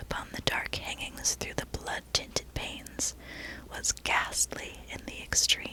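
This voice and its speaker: Whispering at a fairly slow pace, with noticeable background noise. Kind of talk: whisper ASMR reading of a classic horror story. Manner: whispered.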